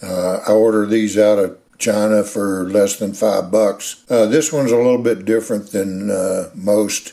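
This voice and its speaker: Fairly slow and fairly even in intonation, the speaker talks in a Texas accent. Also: man. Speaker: hobbyist machinist and maker. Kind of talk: tutorial. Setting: home workshop. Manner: halting, frequent fillers; casual, folksy.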